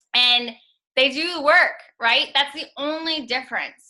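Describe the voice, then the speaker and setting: A woman with a high-pitched, bright, sharp voice projects it loudly, her pitch varying in an ordinary way. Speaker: network marketing coach. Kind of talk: team call coaching talk. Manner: animated.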